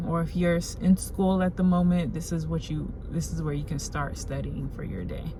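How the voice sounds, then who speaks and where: A woman talks at a medium speed, her voice carrying audible room echo over noticeable background noise. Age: 20s. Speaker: lifestyle YouTuber. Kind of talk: self-help tutorial. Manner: casual, animated.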